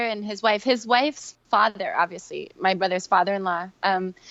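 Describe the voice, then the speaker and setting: A woman talks at a moderate pace with ordinary pitch variation. Hers is a plain, everyday voice. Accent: American. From New York (Queens). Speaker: yoga teacher. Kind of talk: podcast interview.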